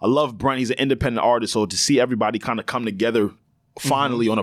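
A man speaks very fast in a New York accent. His intonation stays fairly even. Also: very clean recording, silent background. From New York (Long Island). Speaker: podcast co-host. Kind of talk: casual chat. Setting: studio.

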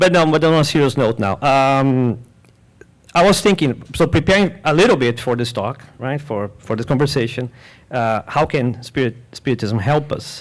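At a moderate pace and with ordinary pitch variation, a plain, everyday voice comes through a very clean recording with a silent background. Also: man, medium pitch for a man. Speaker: panel guest. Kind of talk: live panel discussion. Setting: stage with live audience. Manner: jovial.

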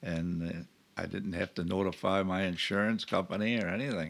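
An Upstate New York accent at a moderate pace, with ordinary pitch variation, on a very clean recording with a silent background. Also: man. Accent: Upstate New York American. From Rochester, New York. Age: 80s+. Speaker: retired traveler. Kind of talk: casual interview. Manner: laid back, positive.

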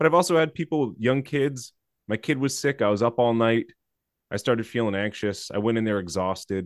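An unremarkable speaking voice moves at a fairly quick pace with lively intonation. The background is quiet. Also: man, medium pitch for a man. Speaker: podcast co-host and CFP exam instructor. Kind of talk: casual roundtable chat.

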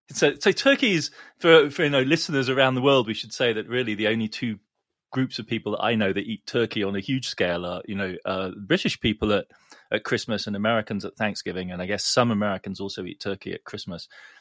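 A man speaks very fast with an English accent, at a medium pitch with ordinary pitch variation, in a dry, close sound with no echo. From England. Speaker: economics columnist, professor. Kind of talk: casual chat. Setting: remote recording, in London.

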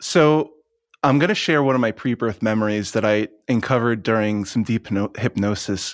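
In an unremarkable speaking voice, a man at medium pitch talks at a moderate pace with ordinary pitch variation, the sound dry and close with no echo on a very clean recording with a silent background. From US Northeast, Long Island, New York. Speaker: spiritual teacher and channeler. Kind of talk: interview conversation.

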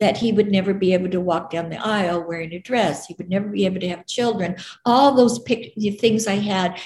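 Somewhat breathy and medium-pitched, a woman with an American accent talks at a fairly quick pace with hardly any pauses and ordinary pitch variation. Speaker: author, mother. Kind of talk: interview.

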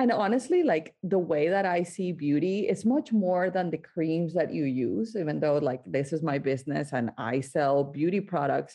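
A woman with a Spanish accent speaks at a moderate pace, with hardly any pauses. Her voice has a fairly low pitch and a dark, mellow tone. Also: lively intonation. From Colombia, Barranquilla (Caribbean coast). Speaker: skincare entrepreneur. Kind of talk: interview.

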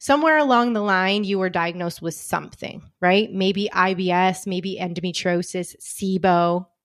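A woman's normal speaking voice at medium pitch, with ordinary pitch variation, big swings in loudness, a moderate pace and hardly any pauses. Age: 40s. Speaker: podcast host, holistic health coach. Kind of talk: solo podcast monologue.

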